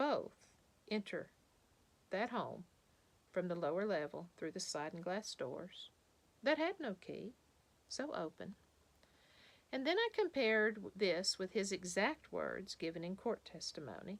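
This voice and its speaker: Pausing long and often, a woman talks at a moderate pace and medium pitch with lively intonation. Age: 60s. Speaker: true crime narrator, victim's sister. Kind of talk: scripted narration.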